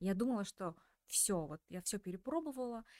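Delivery comes in a normal speaking voice with lively intonation at a moderate pace. The sound is dry and close, with no echo. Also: woman. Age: 30s. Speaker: podcast host. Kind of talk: interview.

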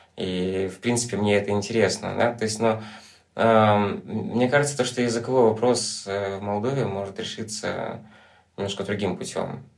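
A man speaks at a fairly low pitch with fairly even intonation. Noticeable background noise and audible room echo surround him. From Transnistria, Moldova. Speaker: documentary photographer. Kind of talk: casual chat.

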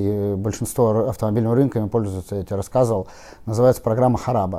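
A man's dark, mellow voice at medium pitch, with fairly even intonation and a very fast pace. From Saint Petersburg, Russia (Kupchino). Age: 30s. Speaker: used car dealership founder. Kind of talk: casual interview.

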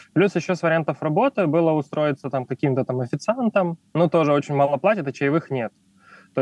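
Delivered at a fairly quick pace with lively intonation, an ordinary speaking voice comes through in a dry, close sound with no echo. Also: man. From Ukraine. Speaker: photographer and refugee immigrant. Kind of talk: casual interview.

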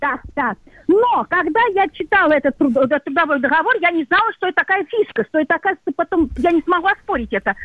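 Her pitch is extremely high for a woman and swings very widely as she talks at a fairly quick pace. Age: 60s. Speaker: radio caller, cashier. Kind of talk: radio call-in question.

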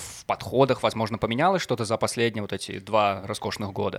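Recorded very cleanly against a silent background, a man talks at medium pitch with ordinary pitch variation in an ordinary speaking voice. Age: 20s. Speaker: podcast host. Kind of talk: casual chat; news reading.

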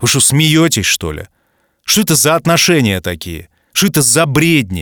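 A man at a medium pitch talks at a moderate pace with vocal fry and very wide pitch swings, the sound dry and close with no echo on a very clean recording with a silent background. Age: 40s. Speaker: podcast host. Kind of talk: casual monologue. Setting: studio. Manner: animated.

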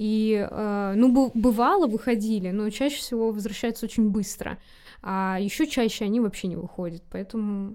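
On a very clean recording with a silent background, a woman speaks with a dark, mellow tone and fairly even intonation. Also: moderate pace. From Russia. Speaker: history teacher. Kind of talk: casual chat. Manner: halting.

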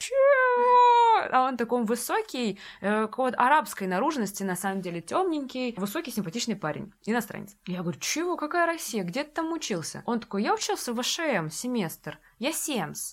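In an animated tone, a woman with a high pitch talks at a moderate pace with very wide pitch swings, on a very clean recording with a silent background. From Russia, Saint Petersburg. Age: 20s. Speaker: education entrepreneur. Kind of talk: casual interview chat. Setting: studio.

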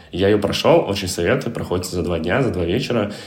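In a room with audible echo and noticeable background noise, a man speaks in a very deep, low pitch with ordinary pitch variation. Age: 20s. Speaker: co-founder of a digital marketing agency. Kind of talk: interview.

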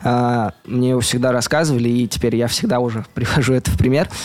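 A man's medium-pitched voice comes through over noticeable background noise. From Russia, Mari El (Volzhsk). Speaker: youth movement organizer. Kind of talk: interview.

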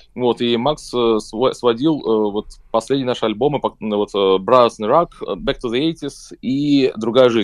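This is an ordinary speaking voice with ordinary pitch variation. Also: man. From Saint Petersburg, Russia. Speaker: rock band vocalist. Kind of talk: radio interview. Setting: remote call.

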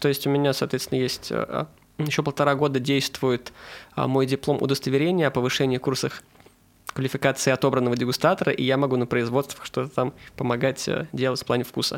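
A man talks at a very fast pace with a medium pitch, monotone, flat intonation and very even loudness. Long pauses come often. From Saint Petersburg, Russia. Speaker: food blogger. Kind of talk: casual chat.

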